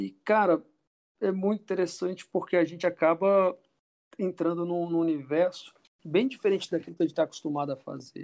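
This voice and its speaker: This man talks with a high voice and fairly even intonation at a moderate pace, breaking often with long pauses. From Brazil, grew up moving between Rio, Belo Horizonte and Natal. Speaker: film director, actor and acting teacher. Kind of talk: casual interview chat.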